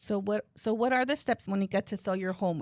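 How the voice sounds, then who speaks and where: A woman speaks fairly quickly at medium pitch. The recording is very clean, with a silent background and a dry, close sound with no echo. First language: bilingual Spanish and English. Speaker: real estate podcast co-host. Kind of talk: casual podcast chat.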